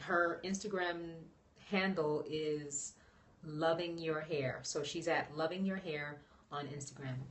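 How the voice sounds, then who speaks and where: Audible room echo around a woman's very deep, low voice, paced fairly slowly. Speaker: natural hair vlogger. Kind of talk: live stream chat. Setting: live broadcast. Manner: soft-spoken.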